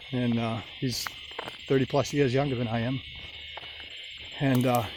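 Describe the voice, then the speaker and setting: A man at a medium pitch speaks at a moderate pace in a monotone, flat intonation. Noticeable background noise is present. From Maine, US (Old Orchard Beach). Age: 60s. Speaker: vlogger. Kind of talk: testimony. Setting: outdoors. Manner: halting.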